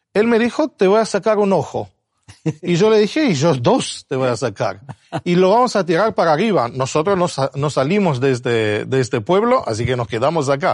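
Speaking with an Argentine accent, a man uses a fairly high pitch and very wide pitch swings. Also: quiet background. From abroad, non-Spanish-speaking country. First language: not Spanish (speaking Spanish). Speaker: Bible teacher. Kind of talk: Bible study discussion. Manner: halting.

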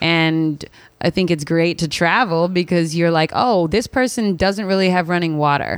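A woman with an American accent, moderate pace and very even loudness, on a very clean recording with a silent background. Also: ordinary pitch variation. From Philadelphia, US. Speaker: DJ and radio host. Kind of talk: casual interview chat. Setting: studio.

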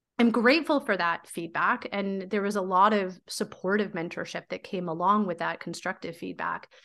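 With hardly any pauses, a woman talks at a moderate pace and medium pitch, using ordinary pitch variation and a bright, sharp tone over a quiet background. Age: 40s. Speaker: teacher and PhD candidate, podcaster. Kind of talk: interview conversation.

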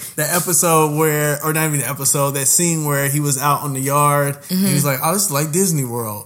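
Noticeable background noise sits behind a voice with an American accent. The pace is very fast, with hardly any pauses and fairly even intonation. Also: man, fairly high pitch for a man. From Indianapolis, Indiana. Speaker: podcast co-host. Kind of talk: casual chat.

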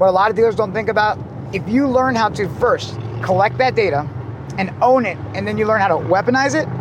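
A high-pitched man with an American accent, animated and fairly quick, with very wide pitch swings over noticeable background noise. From Ohio, US Midwest. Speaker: automotive marketing entrepreneur. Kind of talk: casual interview. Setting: in a convertible car.

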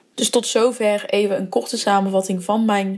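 Noticeable background noise runs behind a woman speaking at a medium pitch. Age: 20s. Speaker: brand marketer and podcast host. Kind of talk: solo podcast monologue. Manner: casual with many filler words.

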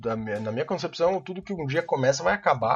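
His voice sits at a fairly high pitch and swings very widely, carrying vocal fry at a moderate pace. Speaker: podcast co-host. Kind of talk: casual chat.

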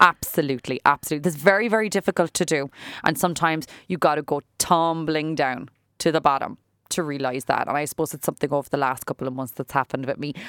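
A woman in a Cork accent talks at a very fast pace with a very deep, low pitch and ordinary pitch variation. The sound is dry and close with no echo, on a very clean recording with a silent background. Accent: Irish (Cork). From Ireland. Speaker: salon owner and businesswoman. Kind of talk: interview. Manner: talkative.

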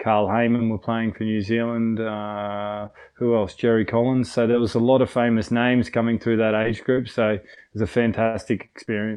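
A man with an Australian accent, medium pitch, monotone, flat intonation and a moderate pace. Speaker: retired rugby player. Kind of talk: interview.

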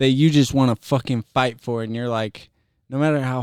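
A slightly mellow, clear, smooth tone in a very clean recording with a silent background. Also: man.

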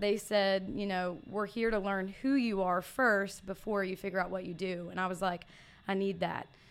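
Against a silent background on a very clean recording, a woman talks at medium pitch. Her pace is moderate and her intonation fairly even. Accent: Southern US. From US South, Mississippi. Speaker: fitness coach. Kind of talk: casual interview. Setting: studio.

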